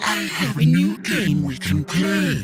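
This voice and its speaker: A man adopts a put-on character voice and delivers it at a fairly slow pace. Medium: read story. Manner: coaxing, secretive.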